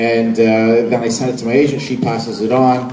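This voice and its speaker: Medium pitch from a man, with audible room echo and noticeable noise behind him. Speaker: voice actor. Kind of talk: convention panel talk. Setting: stage with audience.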